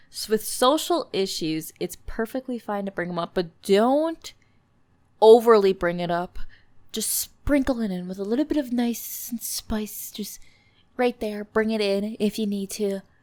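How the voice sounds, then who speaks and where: In a very clean recording with a silent background, a woman with an American accent speaks at a fairly slow pace, with a fairly high pitch and ordinary pitch variation. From US Midwest. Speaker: podcast host. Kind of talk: casual solo podcast talk. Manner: animated.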